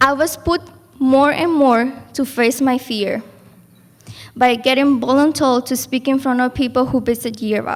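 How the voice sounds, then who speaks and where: A woman with a Spanish accent talks at a fairly slow pace, her high voice holding fairly even intonation. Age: young. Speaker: program graduate, class speaker. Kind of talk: graduation speech.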